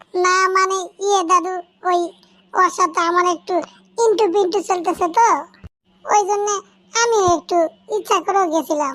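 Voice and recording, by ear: Using a cartoonish character voice, a woman talks at a moderate pace with extremely high pitch, fairly even intonation and very even loudness.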